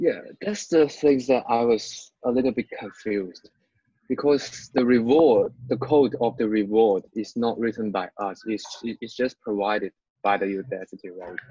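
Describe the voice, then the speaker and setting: With a non-native accent, a man talks in a dark, mellow tone with ordinary pitch variation and a dry, close sound with no echo. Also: medium pitch for a man, moderate pace. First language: not English. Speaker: student. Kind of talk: tutoring session.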